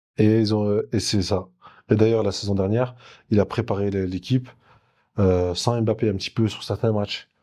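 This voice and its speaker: A man's fairly low, dark and mellow voice in a monotone, flat delivery at moderate pace, with long, frequent pauses, on a very clean recording with a silent background. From France, Jura. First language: Turkish (speaking French). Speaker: former footballer. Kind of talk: interview.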